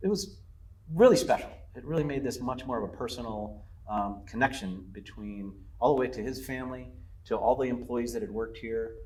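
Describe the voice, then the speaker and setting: At a fairly quick pace, a man talks at medium pitch with ordinary pitch variation. The room echo is audible, and his loudness swings widely. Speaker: lodge owner. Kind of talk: interview. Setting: on location at the lodge. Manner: halting, many fillers and repeats.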